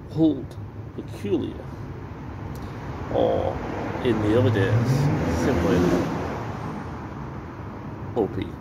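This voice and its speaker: A man's very slow speech with ordinary pitch variation, over loud background noise. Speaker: ale reviewer. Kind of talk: casual vlog chat. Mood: relaxed, reflective, unhurried. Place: bar. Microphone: phone near.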